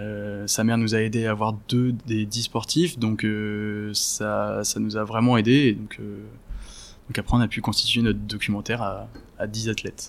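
Delivered at a fairly slow pace, a man's fairly low voice stays monotone, with flat intonation. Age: 20s. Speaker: documentary filmmaker. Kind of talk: interview.

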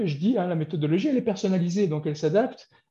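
A man's high-pitched voice, dark and mellow in tone, with lively intonation over a quiet background. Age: 40s. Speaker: business coach. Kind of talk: interview. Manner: halting.

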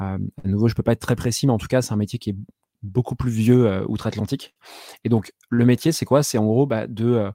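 A man's medium-pitched, dark, mellow voice at a fairly quick pace with fairly even intonation, dry and close with no echo, on a very clean recording with a silent background. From Brittany, France (Saint-Malo). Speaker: product management podcaster and entrepreneur. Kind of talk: casual interview chat.

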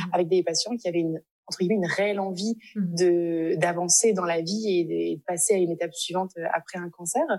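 A woman's fairly low-pitched, dark, mellow voice at a fairly quick pace. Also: fairly even intonation. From France. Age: 20s. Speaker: speech therapist. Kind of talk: interview.

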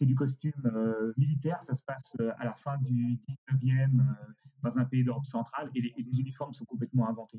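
The man's voice is somewhat breathy, with a dark, mellow tone and medium pitch. His intonation is fairly even, and the sound is dry and close with no echo. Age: 60s. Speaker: costume rental company director. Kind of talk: interview. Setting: remote recording.

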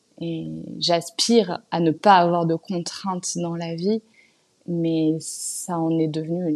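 Speaking at a very slow pace, a woman uses a fairly low pitch and a monotone, flat intonation. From Paris, France. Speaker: natural dyer and clothing brand founder. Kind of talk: interview. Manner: hesitant with fillers.

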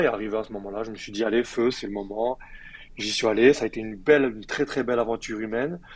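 In a plain, everyday voice, a man of medium pitch talks at a fairly quick pace with fairly even intonation. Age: 30s. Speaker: former professional handball player. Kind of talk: casual interview.

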